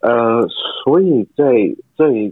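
A man talks with a Cantonese accent. His pace is very slow. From Hong Kong. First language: Cantonese (speaking Chinese). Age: 20s. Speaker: actor. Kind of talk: interview. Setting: video call.

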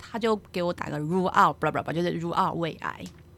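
A woman speaks with lively intonation at a fairly low pitch. Noticeable background noise runs underneath. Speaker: geriatric nurse. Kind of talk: casual chat.

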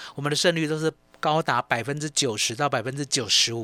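A man's bright, sharp tone comes through very fast with ordinary pitch variation, in a dry, close sound with no echo. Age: 50s. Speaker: stock market analyst. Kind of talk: radio market commentary.

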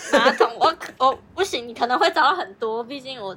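Very wide pitch swings ride over noticeable background noise. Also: woman. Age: 20s. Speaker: advertising office worker, podcast co-host. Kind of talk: casual chat.

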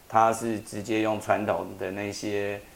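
A man speaks with a Taiwanese accent. His pitch is fairly low. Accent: Taiwanese Mandarin. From Taiwan, Taitung. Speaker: atmospheric science professor. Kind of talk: interview about his translated book.

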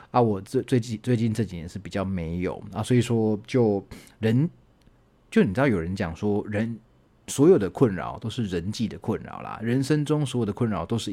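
A man talks at a moderate pace in a fairly low voice with ordinary pitch variation and a dark, mellow, relaxed tone. His loudness swings widely, and the recording is very clean with a silent background. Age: 30s. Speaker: university lecturer and podcast host. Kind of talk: casual solo monologue answering listener questions. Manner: relaxed, chatty with frequent filler particles.

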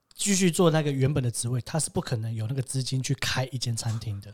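Over a silent background in a very clean recording, a man talks fairly quickly in a medium, somewhat breathy voice with ordinary pitch variation. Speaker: podcast host. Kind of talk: casual chat.

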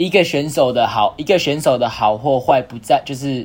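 Speaking at a moderate pace and medium pitch, a man has an unremarkable speaking voice. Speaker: college tennis player. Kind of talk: casual chat.

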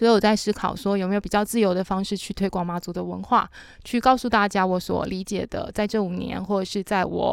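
On a very clean recording with a silent background, a woman with a normal speaking voice talks at a fairly quick pace with fairly even intonation. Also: medium pitch for a woman. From Matsu Islands, Taiwan. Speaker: café owner and local culture worker. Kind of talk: casual chat.

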